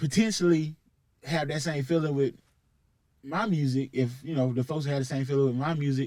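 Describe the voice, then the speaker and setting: A fairly high-pitched man with a Southern accent, at a moderate pace with ordinary pitch variation. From US South, Columbus, Georgia. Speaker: rapper. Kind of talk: casual chat. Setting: studio.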